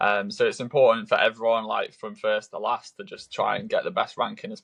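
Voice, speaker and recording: A man with a British accent, fairly quick, with big swings in loudness and a dry, close sound free of echo. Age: 20s. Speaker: triathlete. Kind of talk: podcast interview. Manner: hesitant, many fillers.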